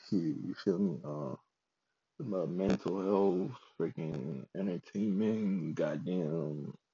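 A man speaks at a very slow pace. His pitch is very deep and low, with ordinary pitch variation. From Ghana, moved to US at 14. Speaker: podcaster. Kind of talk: casual monologue, podcast intro. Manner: halting, many fillers; laughing.

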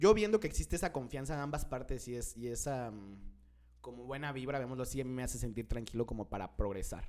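With an ordinary speaking voice, a man talks at a fairly quick pace in a medium pitch with lively intonation. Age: 20s. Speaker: podcast co-host. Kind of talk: casual chat.

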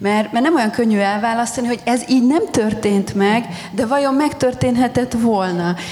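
Against noticeable background noise and audible room echo, a woman speaks at a moderate pace with ordinary pitch variation. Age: 40s. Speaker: historian. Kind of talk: panel discussion at book launch. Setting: festival stage with audience.

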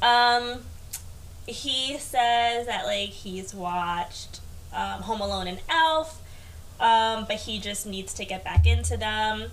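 A woman with an American accent speaks at a very slow pace, with big swings in loudness and audible room echo. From US, Queens, New York. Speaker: podcast guest. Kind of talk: casual chat. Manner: soft-spoken.

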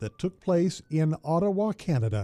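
Music plays in the background. A man talks with lively intonation. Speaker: radio host. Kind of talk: history documentary narration. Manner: formal; measured, even-paced.

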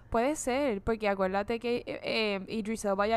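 A woman speaks at a fairly slow pace. Her tone is animated. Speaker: podcast co-host. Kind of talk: casual chat.

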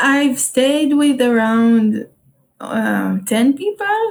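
A woman speaks in a high pitch with an Israeli accent. Her pace is very slow. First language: Hebrew. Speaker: solo traveler and entrepreneur. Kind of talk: casual interview. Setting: remote call. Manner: hesitant, many fillers.

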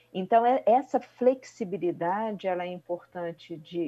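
Speaking at a very slow pace, a woman has a dark, mellow tone, a calm tone, and ordinary pitch variation. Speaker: family therapist. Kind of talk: radio interview. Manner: halting.

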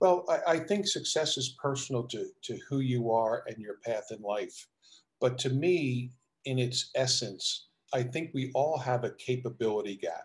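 A man's somewhat breathy, medium-pitched voice with an American accent, at a fairly slow pace. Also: ordinary pitch variation. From South Jersey, near Philadelphia. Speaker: basketball coach and executive. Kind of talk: interview.

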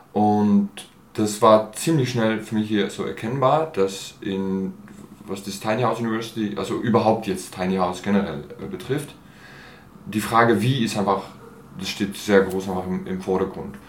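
Over audible room echo, a man with a fairly low pitch talks at a moderate pace with ordinary pitch variation. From Switzerland, Basel (from age 11 to 23). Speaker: actor and theatre artist. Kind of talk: interview. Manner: hesitant, many fillers.

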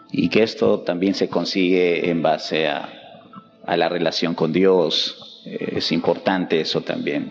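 A man talks at a fairly slow pace. Music plays in the background. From Peru, Huánuco. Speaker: language school director. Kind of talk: interview.

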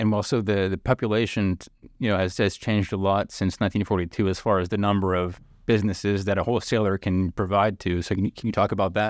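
Over a very clean recording with a silent background and a dry, close sound with no echo, a man with a fairly low pitch speaks very fast in a monotone, flat intonation at very even loudness. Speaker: newspaper reporter hosting podcast. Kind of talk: interview.

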